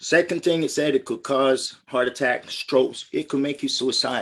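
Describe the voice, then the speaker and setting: A man's fairly high voice, a normal speaking voice with ordinary pitch variation, on a very clean recording with a silent background. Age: 60s. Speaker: military veteran and product distributor. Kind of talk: testimony. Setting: live-streamed group call.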